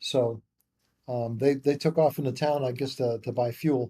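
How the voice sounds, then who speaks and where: Somewhat breathy and dark, mellow in tone, a man talks at medium pitch with fairly even intonation. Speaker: memoir co-author. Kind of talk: storytelling interview. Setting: podcast interview. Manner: casual, halting with repetitions.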